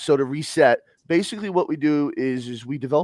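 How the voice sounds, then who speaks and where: With an American accent, a man speaks in an animated tone at a moderate pace. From US Northeast. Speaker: livestream host. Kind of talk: casual chat. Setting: live stream.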